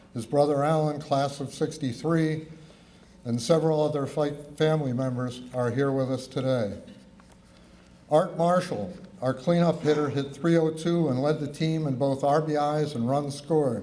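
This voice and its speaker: A man with an American accent, fairly high in pitch and fairly even in intonation, with audible room echo. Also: moderate pace. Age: 70s. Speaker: former college baseball player. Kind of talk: acceptance speech read aloud. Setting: awards ceremony.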